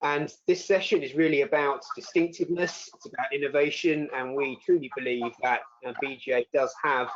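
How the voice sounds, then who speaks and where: A man with a British accent speaks at a moderate pace in a fairly high pitch, his intonation fairly even and his loudness swinging widely. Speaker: accreditation director at a business education association. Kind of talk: webinar presentation. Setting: online webinar.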